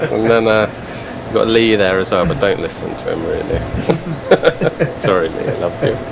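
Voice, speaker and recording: Over noticeable background noise, a man with an English accent talks at a moderate pace. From England. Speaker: carp angler and apparel brand founder. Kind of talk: podcast interview.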